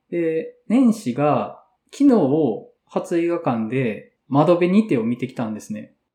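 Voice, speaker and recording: In a dark, mellow tone, a man speaks at a very slow pace, with very wide pitch swings and big swings in loudness. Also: fairly high pitch for a man. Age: 30s. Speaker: podcast host, café bar event organizer. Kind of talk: casual chat.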